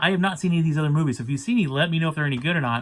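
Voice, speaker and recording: Speaking at a very fast pace, a man uses lively intonation. His pitch is fairly high. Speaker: movie collector vlogger. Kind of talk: casual vlog. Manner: hesitant fillers.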